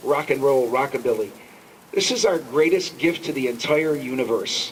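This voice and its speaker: A man speaks with lively intonation at a fairly high pitch. Noticeable background noise runs underneath. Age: 70s. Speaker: jazz festival organizer. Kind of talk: speech at a rally. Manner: impassioned.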